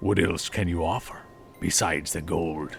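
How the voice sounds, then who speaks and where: A raspy put-on character voice from a man, very deep and low in pitch, at a moderate pace with clear background noise. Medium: audio drama. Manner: cold, blunt, suspicious.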